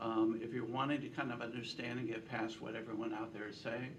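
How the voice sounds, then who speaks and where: A man speaks at a fairly quick pace with ordinary pitch variation, and audible room echo surrounds his voice. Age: 70s. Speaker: political pollster. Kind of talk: speech to a breakfast meeting. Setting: breakfast meeting with audience.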